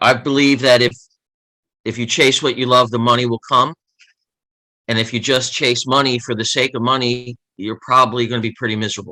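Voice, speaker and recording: A man with an American accent speaks at medium pitch in a bright, sharp tone, his intonation monotone and flat, broken by long, frequent pauses. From US, Baltimore (East Baltimore). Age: 60s. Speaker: author and former journalist. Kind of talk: interview.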